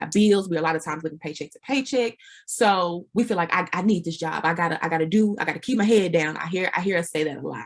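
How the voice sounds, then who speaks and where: A woman with an American accent talks very fast at a fairly low pitch, with ordinary pitch variation and big swings in loudness. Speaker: business consultant. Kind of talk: interview.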